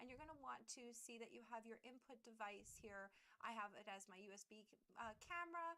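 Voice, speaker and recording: Loud and very fast, a woman talks with a fairly high pitch and a bright, sharp tone. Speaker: streamer. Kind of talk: tutorial. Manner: halting.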